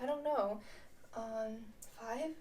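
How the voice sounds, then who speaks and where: A woman's dark, mellow tone at a very slow pace. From United States. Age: 20s. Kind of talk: casual talk to camera.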